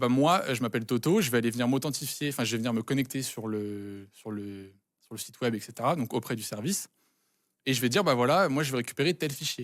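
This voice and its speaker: A man talks at a very fast pace. His voice is medium in pitch, with ordinary pitch variation. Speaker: cybersecurity student presenting a write-up. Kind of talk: technical walkthrough on a live stream. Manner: halting, many hesitations.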